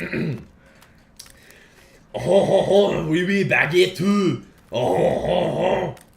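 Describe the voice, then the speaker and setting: A man puts on a raspy character voice with a high pitch. He speaks at a very slow pace, with long, frequent pauses. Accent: French. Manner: exaggerated, mocking.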